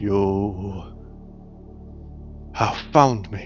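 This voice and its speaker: A man's booming, put-on character voice, fairly low in pitch, over clear music in the background. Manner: grand, commanding.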